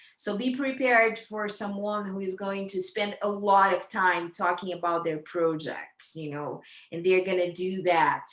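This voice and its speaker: This woman, in a Brazilian accent, speaks at a fairly slow pace with hardly any pauses and ordinary pitch variation. Her voice sits at a medium pitch, and audible room echo surrounds it. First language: Brazilian Portuguese. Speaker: astrologer. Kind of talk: lecture. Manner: halting, many fillers and repetitions.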